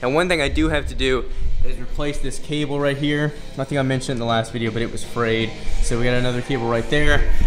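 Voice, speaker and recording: A man speaks very fast while clear music plays behind him. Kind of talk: casual vlog chat. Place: gym. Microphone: phone near.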